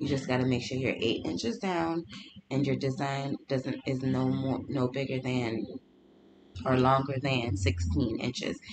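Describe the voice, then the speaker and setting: Noticeable background noise runs beneath speech that moves along fairly slowly. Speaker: small business owner and crafter. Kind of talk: tutorial. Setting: home studio.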